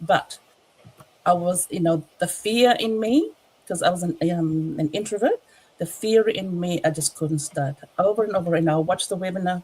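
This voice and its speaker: A woman's fairly low voice comes across somewhat breathy, with a dark, mellow tone. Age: 60s. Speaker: online business entrepreneur. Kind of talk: testimony. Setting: livestream. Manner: halting.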